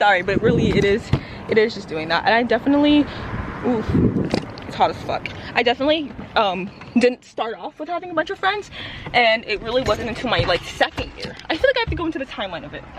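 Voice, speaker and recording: A very fast pace broken by long, frequent pauses, over noticeable background noise. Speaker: vlogger. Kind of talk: casual vlog monologue. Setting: outdoors, walking to car. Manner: animated.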